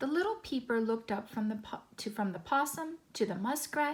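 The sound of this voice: The reading voice here is easy and unforced.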